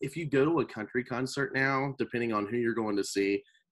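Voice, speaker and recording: Against a quiet background, a man with an American accent talks at a fairly quick pace with lively intonation. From North Carolina. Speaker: drummer. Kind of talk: casual chat. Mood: relaxed, friendly. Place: home room. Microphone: video call.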